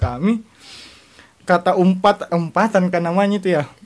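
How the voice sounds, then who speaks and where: This man has a strong Makassar accent. He keeps a moderate pace. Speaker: podcast guest. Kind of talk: casual chat.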